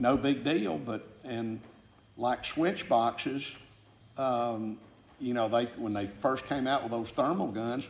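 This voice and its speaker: A man with a Southern US accent at a medium pitch, talking at a very slow pace. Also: ordinary pitch variation. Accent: Southern US (Georgia). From Georgia, McDonough. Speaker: retired aggregates industry businessman. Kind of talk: oral history interview. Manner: halting, many fillers.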